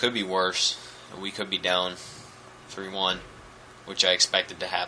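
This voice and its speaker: The speaker's intonation is monotone and flat, broken by long, frequent pauses. Noticeable background noise is present. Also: man. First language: French. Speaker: gaming commentator. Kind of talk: gameplay commentary. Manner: nonchalant.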